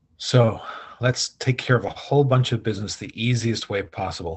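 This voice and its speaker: The voice is somewhat breathy and keeps a moderate pace. The background is quiet. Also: man. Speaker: healer. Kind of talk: guided healing session talk. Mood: calm, gentle. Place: home room. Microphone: video call.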